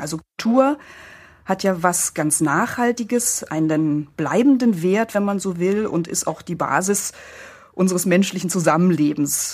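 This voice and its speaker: A woman's ordinary speaking voice, medium in pitch, at a fairly slow pace with lively intonation. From East Germany. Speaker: publisher and author. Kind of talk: interview.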